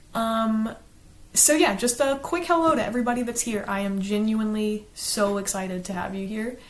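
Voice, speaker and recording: In an American accent, a woman speaks at a fairly high pitch with audible room echo. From US South, South Carolina. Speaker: book reviewer, YouTuber. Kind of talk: casual chat, partly reading from a script.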